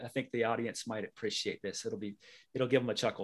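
In an American accent, an unremarkable speaking voice moves through normal rises and falls in pitch. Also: man. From US South, North Carolina. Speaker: tax consultant, former Marine. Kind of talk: interview.

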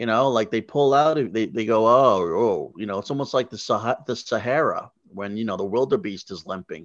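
A man speaks in an ordinary speaking voice at medium pitch with ordinary pitch variation. His pace is moderate, with hardly any pauses, over a quiet background. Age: 40s. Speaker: stand-up comedian. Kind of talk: casual chat. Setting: on location at a casino.

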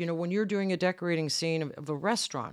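In a very clean recording with a silent background, a woman speaks in a plain, everyday voice, fairly low in pitch, with lively intonation. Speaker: property master, guild president. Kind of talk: interview conversation.

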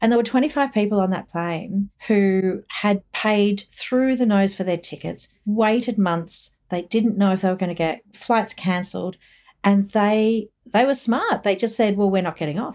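In a very clean recording with a silent background, a woman with an Australian accent speaks at a fairly slow pace, hardly pausing. Her pitch is medium, with ordinary variation. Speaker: expat community group founder. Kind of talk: interview. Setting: podcast recording.

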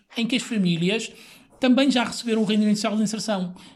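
The speaker is a man. He varies his pitch in an ordinary way. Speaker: Roma community activist. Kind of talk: interview.

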